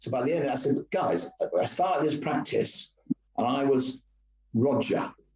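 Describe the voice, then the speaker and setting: The man's voice sits at a fairly high pitch, with a dark, mellow tone that is somewhat breathy. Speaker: retired company executive and bass player. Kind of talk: casual interview chat. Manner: hesitant, many fillers.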